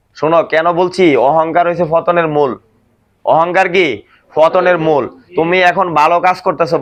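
Here a man with a high pitch speaks with fairly even intonation. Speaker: factory supervisor. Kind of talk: staff meeting talk. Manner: call-and-response questioning.

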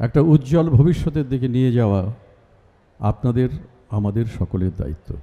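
With a dark, mellow tone, a man speaks using lively intonation. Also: medium pitch for a man. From Bangladesh. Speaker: actor and reciter. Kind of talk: public speech at a university event. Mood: solemn, patriotic. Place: stage.

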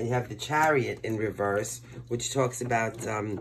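Moderately paced male speech with light background noise. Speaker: tarot reader. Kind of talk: tarot reading commentary. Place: home room. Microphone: phone near.

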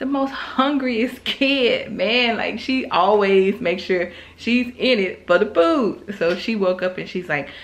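A woman at a medium pitch talks slowly with few pauses and ordinary pitch variation, with audible room echo around her.

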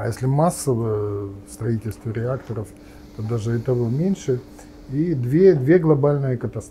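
A man's somewhat breathy, dark, mellow voice with lively intonation, a fairly slow pace and light background noise. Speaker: nuclear physicist and politician; politician. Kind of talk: interview. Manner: halting, many fillers. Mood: calm, thoughtful, pessimistic. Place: cafe.

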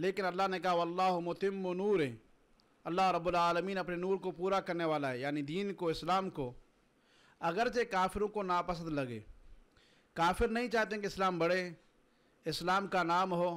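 A man's high-pitched voice with ordinary pitch variation, at a fairly slow pace with long, frequent pauses. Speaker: religious teacher. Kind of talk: lecture. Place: classroom. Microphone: podium.

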